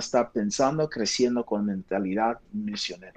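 Someone speaks with an English accent against a quiet background. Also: man. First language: English (speaking Spanish). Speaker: pastor, missions director. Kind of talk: interview.

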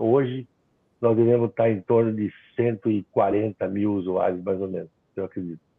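This man has a plain, everyday voice at a medium pitch and talks at a fairly slow pace. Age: 50s. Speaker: internet provider founder. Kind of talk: webinar panel discussion.

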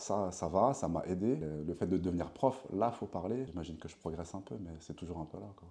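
A man with a very deep, low pitch and a dark, mellow tone speaks fairly quickly with hardly any pauses, his intonation lively and his loudness swinging widely. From France, Paris region (Meudon). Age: 30s. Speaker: sports coach and yoga teacher. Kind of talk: interview.

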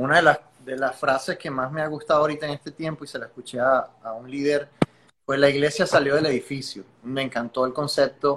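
With a Venezuelan accent, a man of fairly high pitch speaks at a fairly quick pace, his intonation fairly even but his loudness swinging widely. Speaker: podcast host. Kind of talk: interview.

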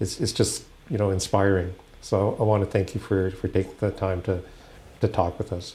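With a Canadian accent, a man speaks in a very deep, low pitch and a dark, mellow tone. His delivery is somewhat breathy, and his intonation is fairly even. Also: moderate pace. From Halifax, Nova Scotia. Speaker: podcast host. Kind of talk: casual interview conversation. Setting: law firm boardroom.

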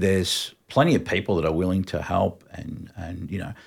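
Here is a man with an Australian accent. His pitch is very deep and low. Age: 50s. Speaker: music industry veteran. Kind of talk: casual chat.

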